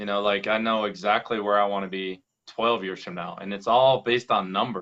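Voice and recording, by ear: A man speaks with an American accent. His pitch is fairly low and his intonation fairly even. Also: moderate pace, fairly bright tone.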